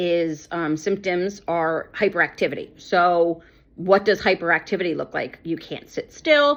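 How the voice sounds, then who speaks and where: This woman's voice sits fairly low, with ordinary pitch variation. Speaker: ADHD coach. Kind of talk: personal testimony. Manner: loud.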